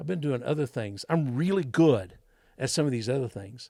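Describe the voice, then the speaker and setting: Here a man speaks with a Texas accent and a dark, mellow tone. His pitch is fairly high, with ordinary pitch variation. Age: 60s. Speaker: school board candidate. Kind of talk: interview. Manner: halting.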